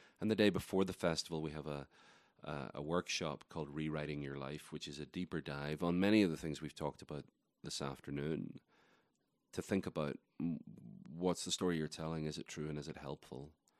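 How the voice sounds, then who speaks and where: Very deep, low male voice at a fairly quick pace, fairly even intonation, dry and close with no echo. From Ireland. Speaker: writer and festival organizer. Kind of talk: interview conversation.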